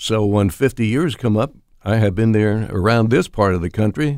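The recording is very clean, with a silent background. A man talks in a plain, everyday voice at a medium pitch. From Pennsylvania, US. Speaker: retired sports broadcaster. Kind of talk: elder life story, reminiscing in interview. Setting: podcast interview. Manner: slow, rambling, folksy.

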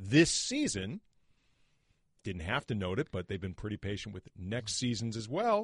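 Against a quiet background, a man with a fairly low, somewhat breathy voice and ordinary pitch variation pauses long and often, the sound dry and close with no echo. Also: moderate pace. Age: 40s. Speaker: sports podcast host. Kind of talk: casual chat.

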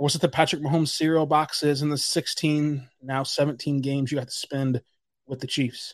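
Over a quiet background, a man speaks with an American accent. He talks at a fairly quick pace. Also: fairly high pitch for a man. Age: 20s. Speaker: sports podcast host. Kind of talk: podcast monologue. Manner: animated.

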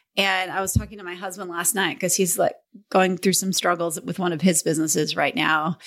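On a very clean recording with a silent background, a woman with a normal speaking voice talks at a moderate pace in a medium pitch. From northern Minnesota. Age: 50s. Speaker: real estate team leader. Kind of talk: interview.

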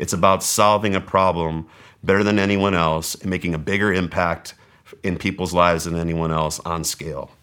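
This man speaks with an American accent and a very deep, low pitch. His intonation is monotone and flat. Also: moderate pace. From Southern California. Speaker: wealth strategist. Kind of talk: interview. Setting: studio.

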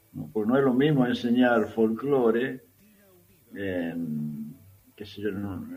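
With a fairly low pitch and lively intonation, a man speaks at a very slow pace, leaving long, frequent pauses amid audible room echo. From Argentina, Tucumán. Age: 70s. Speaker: guitarist and composer. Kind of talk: interview.

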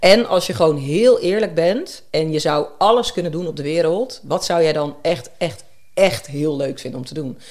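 A woman with a normal speaking voice talks at a moderate pace and a fairly low pitch, with lively intonation and big swings in loudness. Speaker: nutrition psychologist. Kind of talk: interview conversation.

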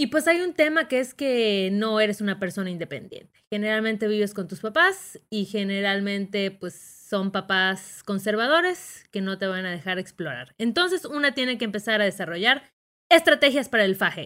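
Against a silent background in a very clean recording, a woman speaks at a medium pitch with a bright, sharp tone. Her animated delivery has very wide pitch swings and a moderate pace. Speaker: podcast co-host. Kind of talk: casual chat. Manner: animated, laughing.

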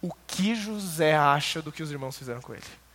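Here a man uses an ordinary speaking voice. His pitch is fairly high, and his pace is moderate. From interior of São Paulo state, Brazil. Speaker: Bible teacher. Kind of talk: church Bible lecture.

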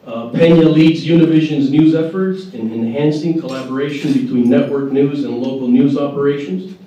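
With noticeable background noise behind him, a man speaks at a moderate pace and a fairly high pitch, showing ordinary pitch variation and hardly any pauses. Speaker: panel moderator. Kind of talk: moderating a panel at a breakfast event.

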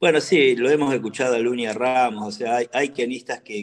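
A man speaks at a moderate pace. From Argentina, Buenos Aires province. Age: 60s. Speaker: ambassador and politician. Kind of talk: radio interview. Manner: halting, many fillers and repetitions.

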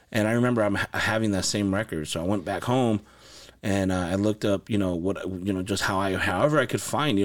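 This is a man with a fairly low pitch. He has a plain, everyday voice. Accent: American. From Los Angeles and Santa Paula, California. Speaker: music producer and studio owner. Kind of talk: casual interview chat. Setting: recording studio.

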